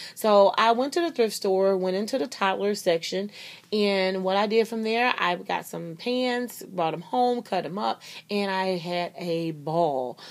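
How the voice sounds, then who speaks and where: A woman with a medium-pitched voice speaks fairly slowly, her tone animated and her intonation lively. The recording is very clean, with a silent background. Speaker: crafting YouTuber. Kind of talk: casual craft tutorial vlog.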